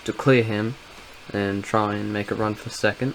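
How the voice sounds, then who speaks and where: Over noticeable background noise, a man with an English accent speaks at a fairly slow pace and medium pitch, his intonation monotone and flat. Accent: English accent in voiceovers. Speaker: sim racing gamer. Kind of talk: gameplay commentary voiceover. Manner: casual, with frequent filler words.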